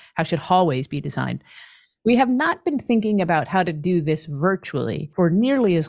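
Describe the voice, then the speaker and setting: In a very clean recording with a silent background, a woman with an ordinary speaking voice talks at a moderate pace, her fairly low pitch carried by lively intonation. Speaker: professor and author. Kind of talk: interview.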